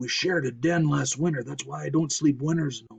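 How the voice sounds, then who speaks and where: Putting on a character voice, a man sounds gruff, raspy and rumbling at a fairly high pitch. He moves at a fairly quick pace. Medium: read story. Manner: grumbling.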